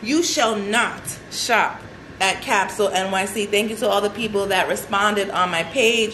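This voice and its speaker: A woman at medium pitch with an animated tone and moderate pace, plus audible room echo and noticeable background noise. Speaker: celebrity fashion stylist and show host. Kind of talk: casual live show talk.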